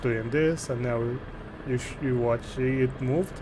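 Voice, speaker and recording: A man with a Romanian accent at a moderate pace and medium pitch, with noticeable background noise and audible room echo. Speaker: gaming streamer. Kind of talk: live gameplay stream with chat. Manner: casual, thinking aloud.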